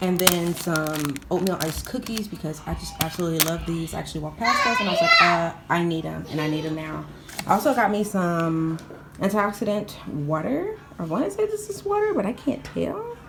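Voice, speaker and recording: Fairly quick speech from a woman, with audible room echo and noticeable background noise. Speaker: stay-at-home mom vlogger. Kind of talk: casual vlog talk. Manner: soft-spoken, talking low.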